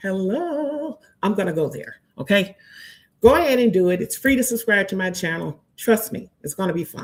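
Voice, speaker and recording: A woman speaks in an animated tone at medium pitch, somewhat breathy. Her pitch swings very widely, and her loudness rises and falls sharply. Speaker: movie review podcast host. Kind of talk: live stream chat. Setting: live stream. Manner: fast.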